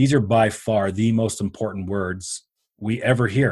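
Somewhat breathy, a man with a Canadian accent talks at a medium pitch with fairly even intonation. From Canada. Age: 50s. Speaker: business coach. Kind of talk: interview.

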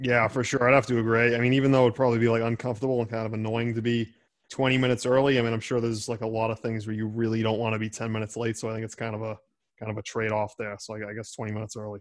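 A man with a Boston accent talks very fast. His intonation is monotone and flat. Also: medium pitch for a man. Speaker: law student podcast host.

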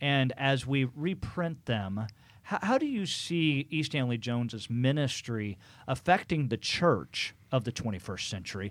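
With an unremarkable speaking voice, a man talks fairly slowly at medium pitch and lively intonation, on a very clean recording with a silent background. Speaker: podcast host. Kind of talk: interview, host questioning guest.

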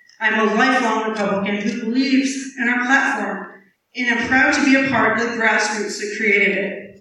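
Fairly high-pitched woman with an American accent, moderate pace and fairly even intonation, amid audible room echo. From southeast Iowa. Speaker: political candidate. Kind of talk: candidate forum. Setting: public forum with audience.

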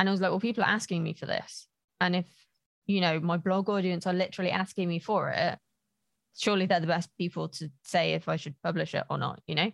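A woman talks very fast in a fairly low voice with vocal fry and fairly even intonation, over a quiet background. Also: dry, close sound with no echo. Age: 30s. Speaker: author and writing coach. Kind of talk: casual interview.

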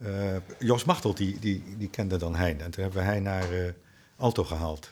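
At a moderate pace, a man with a fairly low pitch keeps his intonation fairly even. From Netherlands, The Hague. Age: 60s. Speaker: jazz drummer. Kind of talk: casual interview chat. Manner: halting, many repetitions.

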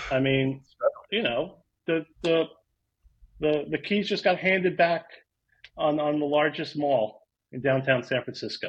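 With a New York accent, the speaker talks at a fairly slow pace, using ordinary pitch variation and long, frequent pauses. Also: man, fairly high pitch for a man. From New York, Rockland County. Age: 40s. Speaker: real estate data consultant. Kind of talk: casual interview. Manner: halting.

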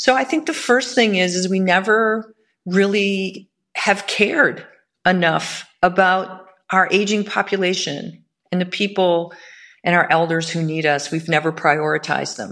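This woman has an unremarkable speaking voice, medium in pitch with ordinary variation, speaking at a fairly slow pace with an American accent. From Michigan. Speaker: lawyer. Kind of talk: interview.

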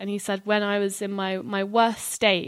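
The recording is very clean with a silent background. A woman speaks at a medium pitch and a fairly slow pace. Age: 20s. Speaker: art graduate and church member. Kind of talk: testimony.

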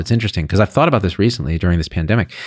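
A man speaks in an ordinary speaking voice with a fairly low pitch and lively intonation. The recording is very clean with a silent background and a dry, close sound with no echo. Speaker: physician and online health commentator. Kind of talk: casual chat, opinionated.

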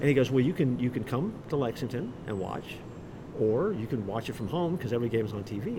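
A man with an American accent at medium pitch, very fast pace and lively intonation, with noticeable background noise and audible room echo. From Florida, Orlando. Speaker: pastor and author. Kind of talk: interview. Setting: live event.

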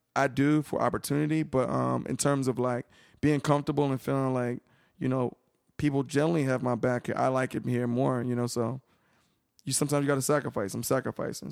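Talking at a very fast pace, a man comes through in a dry, close sound with no echo. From Philadelphia, US. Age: 30s. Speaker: podcast guest. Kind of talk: casual chat. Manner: animated.

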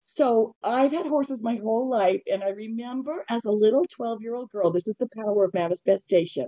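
Lively intonation marks this fairly quick delivery in an American accent. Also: woman, fairly high pitch for a woman. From Utah. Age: 50s. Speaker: equine therapy practitioner. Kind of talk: casual chat. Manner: animated.

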